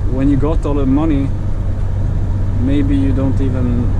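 Loud background noise surrounds a man talking fairly slowly. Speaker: truck driver vlogger. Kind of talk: casual vlog chat. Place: car.

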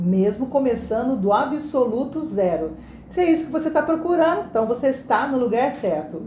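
Over light background noise and audible room echo, a woman with a high pitch speaks at a moderate pace, her loudness very even while her pitch swings very widely. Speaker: English teacher. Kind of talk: podcast host introduction. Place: home room.

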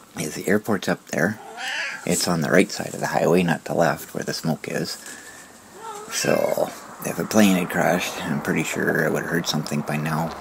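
A man's very deep, low voice, fairly even in intonation and moderate in pace, with noticeable background noise. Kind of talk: retrospective vlog narration. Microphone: phone near.

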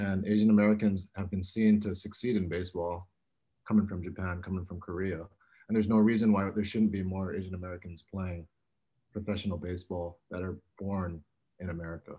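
In a quiet background, a man speaks with a very deep, low pitch and a dark, mellow tone, his intonation flat and monotone. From Hawaii. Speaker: apparel brand founder and former college baseball player. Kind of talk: roundtable discussion. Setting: video call. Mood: earnest, reflective. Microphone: video call.

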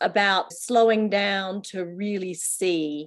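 Behind the voice, things are quiet. A woman is the one talking. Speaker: interviewer. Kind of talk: interview. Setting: video call. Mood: warm, cheerful, laughing. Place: home room. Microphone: video call.

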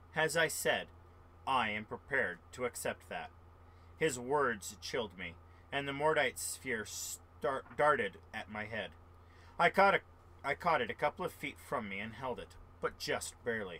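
With a bright, sharp tone and vocal fry, a man talks at a moderate pace with lively intonation and long, frequent pauses. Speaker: amateur audiobook reader. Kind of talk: reading aloud from a novel. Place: home room. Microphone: webcam.

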